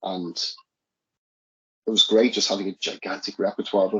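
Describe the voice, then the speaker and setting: A man's voice at a moderate pace. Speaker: singer and guitarist in an independent band. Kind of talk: casual interview chat. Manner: halting, many repeated words.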